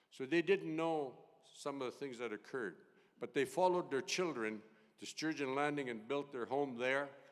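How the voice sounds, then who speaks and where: This is a man speaking. His pitch is fairly high. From northern Saskatchewan, Cumberland House. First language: Cree. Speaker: retired judge, keynote speaker. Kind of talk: keynote speech.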